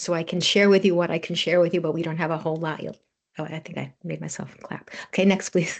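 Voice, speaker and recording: The voice goes at a very fast pace with vocal fry and monotone, flat intonation. Its loudness swings widely. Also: woman, fairly low pitch for a woman. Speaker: genomics researcher presenting at a webinar. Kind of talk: presentation.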